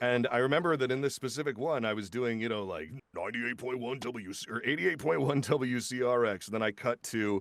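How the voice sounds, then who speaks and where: The speech moves at a fairly quick pace with hardly any pauses, over noticeable background noise. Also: man, medium pitch for a man, ordinary pitch variation. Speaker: voice actor. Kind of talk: casual chat. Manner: halting.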